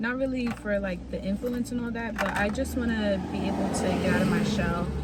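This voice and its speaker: Quiet and at a moderate pace, a woman talks over noticeable background noise with audible room echo. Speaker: vlogger. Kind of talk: vlog monologue. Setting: recording on the go, walking home.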